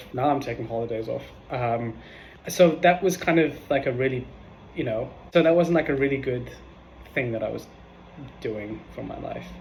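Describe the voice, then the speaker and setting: Amid audible room echo, a man of medium pitch sounds somewhat breathy, speaking at a moderate pace with ordinary pitch variation, big swings in loudness and long, frequent pauses. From South Africa, Johannesburg. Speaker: video diarist. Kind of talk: casual vlog monologue. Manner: hesitant, many fillers (um).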